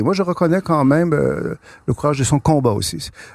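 In a very clean recording with a silent background and a dry, close sound with no echo, a man with a fairly high voice speaks at a fairly quick pace with lively intonation. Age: 60s. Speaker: author and political thinker. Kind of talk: interview. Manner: halting, many repeated words.

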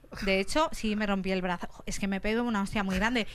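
Fairly quick speech from a woman, her pitch varying in an ordinary way. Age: 30s. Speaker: comedian. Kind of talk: comic monologue.

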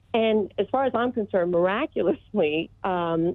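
A woman with an American accent has an unremarkable speaking voice. She talks at a fairly slow pace with ordinary pitch variation. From Texas, Austin. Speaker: caller. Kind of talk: testimony. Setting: phone call.

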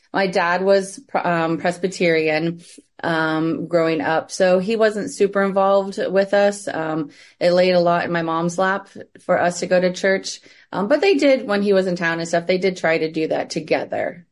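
Speaking with an American accent, a woman uses a medium pitch and ordinary pitch variation. Her pace is moderate, and the background is quiet. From US Midwest. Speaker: trafficking survivor and nonprofit founder. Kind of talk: interview, personal testimony.

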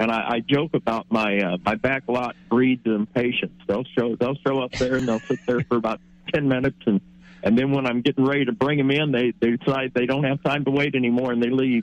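With a normal speaking voice at medium pitch, a man talks at a fairly quick pace with fairly even intonation and very even loudness in a dry, close sound with no echo. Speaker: auto service shop owner. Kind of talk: casual chat.

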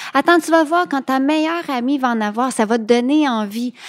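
With lively intonation, a woman speaks at a moderate pace in a dry, close sound with no echo. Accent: Quebec. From Quebec. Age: 40s. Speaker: childfree woman sharing her story. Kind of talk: podcast interview.

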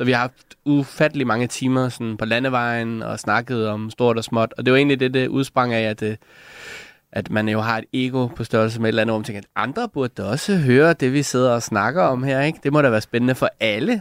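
An ordinary speaking voice comes from a man at a medium pitch, talking at a fairly quick pace with fairly even intonation in a very clean, dry, close recording with a silent background and no echo. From Denmark, Lolland (Sakskøbing). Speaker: comedian. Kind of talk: casual chat. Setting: radio studio.

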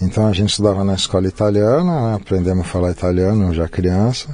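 A man talks at a fairly quick pace in an ordinary speaking voice. His pitch is fairly low, with ordinary variation. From Brazil, São Paulo. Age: 50s. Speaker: Japanese cuisine chef. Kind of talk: casual interview conversation.

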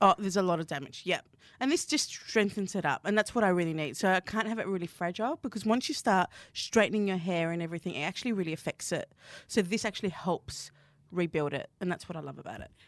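Speaking very fast in an animated tone, a woman with a medium pitch and ordinary pitch variation is heard in a very clean recording with a silent background and a dry, close sound with no echo. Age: 30s. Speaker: pastry chef. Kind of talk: casual chat. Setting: studio.

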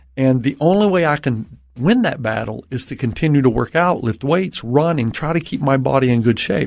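A man talks with lively intonation. He has an unremarkable speaking voice, pitched in the medium range. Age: 50s. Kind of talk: interview about mental health and faith.

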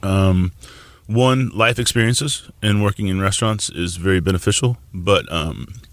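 An ordinary speaking voice with an American accent, at a fairly slow pace with ordinary pitch variation. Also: man. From Tulsa, Oklahoma. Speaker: chef. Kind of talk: casual interview.

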